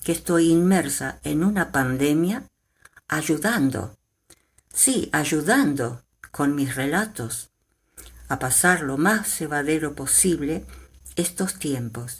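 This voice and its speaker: Speaking very slowly, a woman uses lively intonation. The recording is very clean, with a silent background. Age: 70s. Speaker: retired storyteller grandmother. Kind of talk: testimony.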